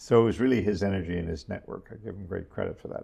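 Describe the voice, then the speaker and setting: Somewhat breathy, a man with an American accent talks at a very fast pace. His pitch is very deep and low, with ordinary variation. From New York. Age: 80s+. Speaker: venture capitalist. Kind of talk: interview. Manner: halting.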